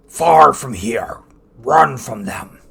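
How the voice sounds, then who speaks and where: A middle-pitched voice is put on as a character. The sound is raspy. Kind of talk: screaming. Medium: actual play. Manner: blunt, short clipped phrases.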